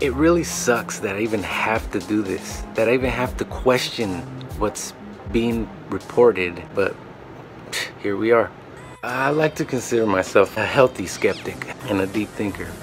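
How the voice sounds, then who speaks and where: Music plays behind a man who speaks at a moderate pace with lively intonation. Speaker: video host. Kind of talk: casual vlog chat. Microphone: webcam.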